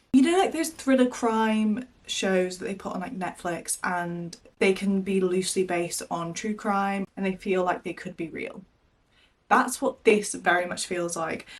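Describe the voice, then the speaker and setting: Speaking fairly slowly at a medium pitch with ordinary pitch variation and big swings in loudness, a woman has an ordinary speaking voice. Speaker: book vlogger. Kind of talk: casual vlog talk to camera. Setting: in her wardrobe.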